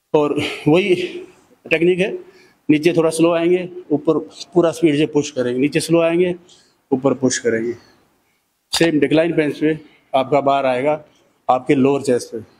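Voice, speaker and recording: A man speaks at a fairly slow pace with long, frequent pauses and fairly even intonation over light background noise. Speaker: fitness trainer. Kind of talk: tutorial. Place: gym. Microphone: handheld.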